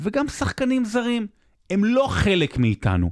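On a very clean recording with a silent background, a man speaks at a moderate pace in a dry, close sound with no echo. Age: 30s. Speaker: sports podcast host. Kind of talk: storytelling; casual chat.

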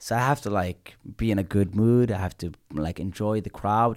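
A man with a plain, everyday voice talks at a fairly low pitch and fairly quick pace with ordinary pitch variation, on a very clean recording with a silent background. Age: 20s. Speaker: comedian. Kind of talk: casual chat.

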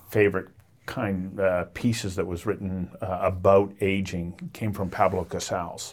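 This is an unremarkable speaking voice. Its intonation is fairly even and its pace fairly slow. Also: man. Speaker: podcast host. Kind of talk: interview intro and conversation.

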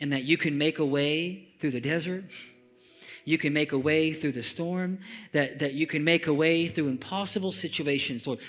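Music plays in the background. A man talks with a fairly high pitch. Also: fairly even intonation, moderate pace. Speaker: pastor. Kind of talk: sermon; fervent closing prayer, spoken aloud to a congregation. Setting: church. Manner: halting with frequent repeats and fillers.

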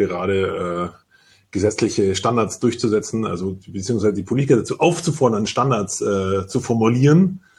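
A somewhat breathy man at a fairly low pitch, with lively intonation and a moderate pace, over a quiet background. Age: 40s. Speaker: insurance broker pool executive. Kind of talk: panel discussion.

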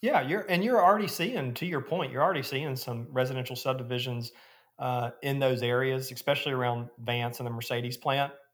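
A man with an Alabama accent speaks at a medium pitch with ordinary pitch variation. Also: fairly quick pace. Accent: US Southern (Alabama). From Alabama (Gadsden). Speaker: real estate developer. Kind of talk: interview.

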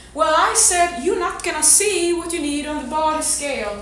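Noticeable background noise sits behind a woman speaking at a high pitch. Her pace is moderate. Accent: non-native. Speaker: fitness coach. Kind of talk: motivational talk to community. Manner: passionate, intense.

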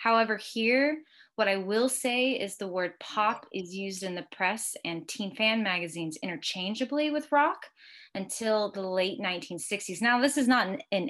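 At a fairly slow pace, a woman with a plain, everyday voice speaks at medium pitch with lively intonation against a quiet background. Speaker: music academic. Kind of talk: podcast interview.

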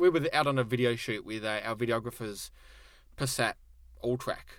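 A man with an Australian accent at a moderate pace, with long, frequent pauses and big swings in loudness. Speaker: car magazine editor. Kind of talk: casual chat. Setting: studio. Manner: jokey, playful.

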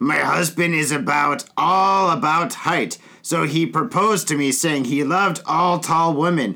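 Putting on a character voice, a man talks at a fairly high pitch with hardly any pauses. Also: moderate pace. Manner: put-on feminine voice, quoting.

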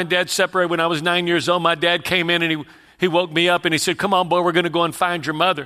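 A man with a Texas accent speaks at a very fast pace in a high pitch with a bright, sharp tone. His intonation is monotone and flat, his loudness very even, and the recording very clean with a silent background. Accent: Texas Southern US. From Houston, Texas. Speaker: evangelist preacher. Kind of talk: sermon with personal testimony.

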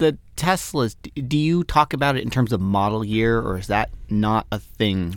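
On a very clean recording with a silent background, a man's voice makes very wide pitch swings. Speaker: radio host. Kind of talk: casual chat. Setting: studio. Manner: fast talker.

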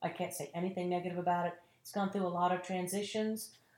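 A woman speaks with a Southern US accent. Her pitch sits in the medium range. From North Carolina, small tobacco town. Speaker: actress and acting teacher. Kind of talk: casual interview chat.

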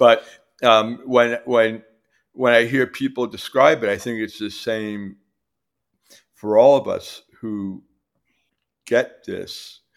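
A man speaks at a very slow pace, with long, frequent pauses. His loudness swings widely. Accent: New York. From New York City, Queens. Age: 60s. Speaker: recovering alcoholic with long-term sobriety. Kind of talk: personal recovery story in casual interview. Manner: halting, many fillers.

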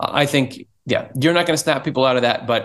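The background is quiet as a man speaks at a moderate pace. His pitch is medium, with ordinary variation. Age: 30s. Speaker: church executive director. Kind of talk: casual chat. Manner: animated.

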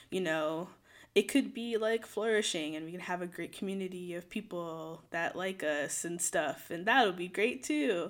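The recording is very clean, with a silent background. A woman with an ordinary speaking voice talks at a moderate pace, with a medium pitch and ordinary pitch variation. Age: 20s. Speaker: podcast co-host. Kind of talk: casual chat.

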